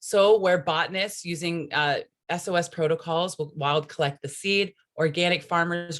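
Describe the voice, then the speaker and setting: With an ordinary speaking voice, a woman speaks at a moderate pace in a fairly low pitch with ordinary pitch variation, in a very clean recording with a silent background. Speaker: conservation practitioner presenting a native seed program. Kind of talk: conference presentation.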